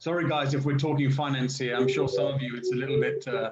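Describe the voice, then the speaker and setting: A man at medium pitch, with audible room echo. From England. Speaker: finance professional. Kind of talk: casual chat. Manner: precise diction.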